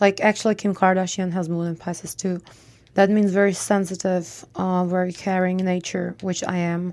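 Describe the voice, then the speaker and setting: A woman's medium-pitched voice in a Czech accent, moderate in pace, with monotone, flat intonation. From Czech Republic.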